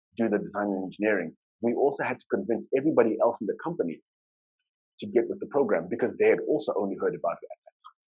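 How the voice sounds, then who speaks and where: Someone speaks at a very fast pace in a Zimbabwean accent. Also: man. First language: Shona. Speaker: UX design lead, conference speaker. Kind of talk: conference talk. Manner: fast when excited.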